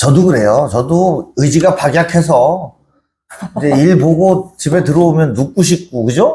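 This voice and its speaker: A man with a Chungcheong accent speaks in a dark, mellow tone that is somewhat breathy. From Chungcheong, Korea. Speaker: author and humanities lecturer. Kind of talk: book talk interview. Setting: literary museum event.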